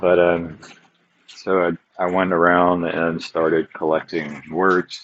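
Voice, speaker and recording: Very slowly and at very even loudness, a man speaks in a very deep, low pitch with monotone, flat intonation. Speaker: podcaster. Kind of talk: casual monologue update. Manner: halting, many fillers.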